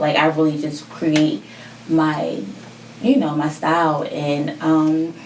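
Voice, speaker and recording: Against noticeable background noise, a woman with an American accent speaks at a fairly slow pace in a very deep, low pitch. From West Philadelphia, US; New Jersey from age 13. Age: 20s. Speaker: fashion entrepreneur, shoe designer. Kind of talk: podcast interview.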